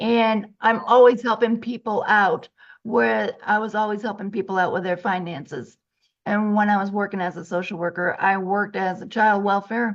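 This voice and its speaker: An unremarkable speaking voice with an American accent moves at a moderate pace with fairly even intonation. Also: woman, medium pitch for a woman. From Massachusetts. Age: 60s. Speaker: financial coach and social worker. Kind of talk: interview.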